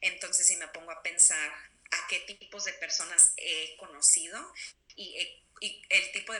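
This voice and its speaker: Over noticeable background noise, a woman with a Mexican accent speaks at a moderate pace. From Texas, Mexican-American family. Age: 20s. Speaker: interviewee. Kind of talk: interview.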